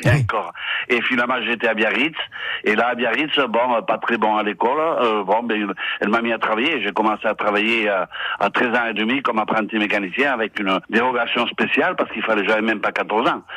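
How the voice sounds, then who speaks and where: Noticeable background noise sits behind a man's voice. He moves at a fairly quick pace with fairly even intonation. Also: medium pitch for a man. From French Basque Country. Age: 60s. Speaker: retired Basque emigrant. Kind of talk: radio interview.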